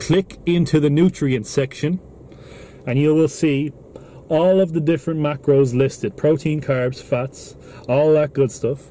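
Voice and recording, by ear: A man speaks at a fairly slow pace with fairly even intonation, his dark, mellow tone set at a fairly high pitch for a man.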